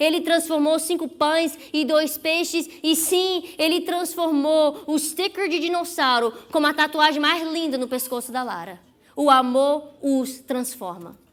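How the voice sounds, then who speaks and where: A woman's high-pitched voice, with ordinary pitch variation and a fairly slow pace, over noticeable background noise. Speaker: psychologist giving a sermon. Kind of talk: sermon. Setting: church.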